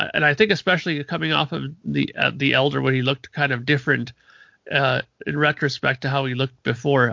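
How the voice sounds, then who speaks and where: A man's fairly high-pitched voice with vocal fry, at a fairly quick pace. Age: 40s. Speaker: podcast panelist and musician. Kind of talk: casual chat.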